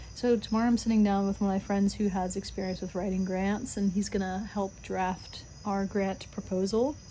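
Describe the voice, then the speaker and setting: A woman speaks at a moderate pace with hardly any pauses, her medium pitch held in a flat monotone. Her tone is dark and mellow, with some breathiness. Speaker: vlogger, restaurant server and musician. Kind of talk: casual vlog talk to camera. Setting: outdoors on front porch. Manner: halting with self-corrections.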